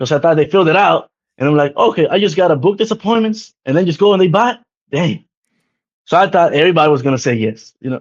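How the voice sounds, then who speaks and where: A man's high-pitched voice, very fast in pace, with lively intonation. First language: not English. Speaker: insurance agency owner. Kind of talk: podcast interview.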